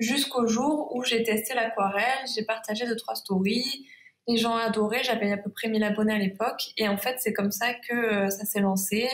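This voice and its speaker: A woman's fairly high voice with a Provençal accent, very even loudness and a moderate pace. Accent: Provençal southern French accent, sing-song. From Provence, southern France. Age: 20s. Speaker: watercolour illustrator. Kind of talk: interview.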